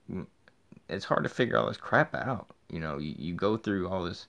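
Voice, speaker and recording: Vocal fry runs through a man's very deep, low voice as he speaks with lively intonation. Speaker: video blogger. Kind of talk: personal video diary. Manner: fast; halting.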